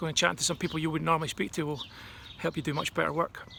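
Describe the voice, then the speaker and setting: This man has a Scottish accent and talks at a very fast pace. His fairly high voice stays monotone and flat. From Scotland. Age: 50s. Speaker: advertising strategist. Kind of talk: recorded talk. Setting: at home. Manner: casual, hesitant with frequent ums.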